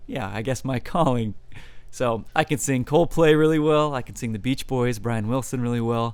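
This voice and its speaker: An ordinary speaking voice with ordinary pitch variation. The pace is moderate. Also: man, medium pitch for a man. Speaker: musician. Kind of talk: interview. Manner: casual, many fillers.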